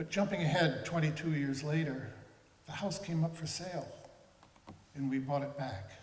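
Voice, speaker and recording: A man with an American accent talks at a fairly quick pace with ordinary pitch variation, over noticeable background noise and audible room echo. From Martha's Vineyard, Massachusetts. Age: 70s. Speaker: museum supporter giving remarks. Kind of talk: speech at a ceremony.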